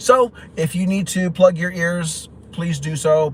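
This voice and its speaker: A man is heard over noticeable background noise. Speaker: YouTuber live streaming. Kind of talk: casual live stream chat. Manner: fast; halting.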